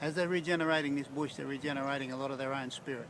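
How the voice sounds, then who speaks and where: Very fast, fairly high-pitched speech from a man with an Australian accent, amid noticeable background noise. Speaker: counsellor. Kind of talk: interview testimony.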